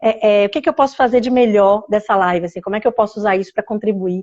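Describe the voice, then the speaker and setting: A woman talks very fast, her pitch moving in an ordinary way. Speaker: live-stream host. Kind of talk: casual chat.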